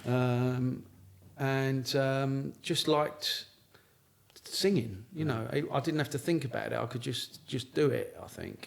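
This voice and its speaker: A man in a London accent with fairly even intonation. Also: medium pitch for a man, fairly slow pace. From South East London. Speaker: singer-songwriter. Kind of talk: casual interview chat. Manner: halting, many repeats and fillers.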